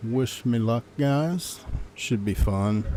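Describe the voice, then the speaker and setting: Soft-spoken and fairly low in pitch, a man talks very slowly with lively intonation. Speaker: gaming live streamer. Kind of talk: casual live stream commentary.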